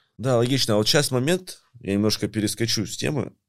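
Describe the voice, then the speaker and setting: A man talks at a fairly quick pace in a normal speaking voice with lively intonation, captured in a very clean recording over a silent background. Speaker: podcast host. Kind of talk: casual interview.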